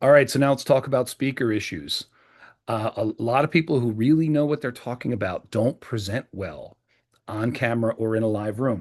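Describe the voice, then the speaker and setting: Against a quiet background, a man with a US Northeastern accent speaks at medium pitch with ordinary pitch variation. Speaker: presentation skills trainer. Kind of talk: training video. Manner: louder, clearer, enunciated; fast.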